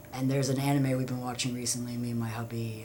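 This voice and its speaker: A man at medium pitch races along at a very fast pace in a flat monotone, with audible room echo and noticeable background noise. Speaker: vlogger. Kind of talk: casual monologue. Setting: at home. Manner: halting, many fillers.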